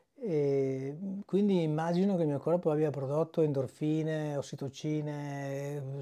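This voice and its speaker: This man's voice sits fairly high. Its tone is dark and mellow. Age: 50s. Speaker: fasting retreat participant. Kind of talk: testimony. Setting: video diary at a retreat.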